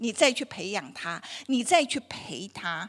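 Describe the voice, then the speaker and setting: A fairly slow pace over a quiet background. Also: woman. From Taiwan. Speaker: dietitian giving a health talk; health lecturer. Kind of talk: lecture. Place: hall. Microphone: handheld.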